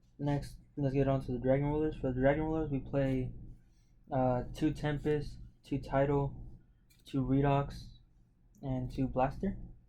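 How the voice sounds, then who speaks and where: Audible room echo surrounds a man with a fairly high pitch and a dark, mellow tone. He talks at a moderate pace in a monotone, flat intonation, with long, frequent pauses. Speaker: card game content creator. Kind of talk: tutorial. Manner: halting, many fillers and repeats; casual.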